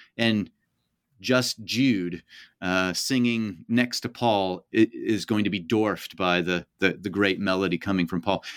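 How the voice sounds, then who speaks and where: On a very clean recording with a silent background and a dry, close sound with no echo, a man with fairly low pitch talks at a fairly slow pace with ordinary pitch variation. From US Midwest, Kansas City area. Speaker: professor. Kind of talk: interview. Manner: halting, many fillers and repeats.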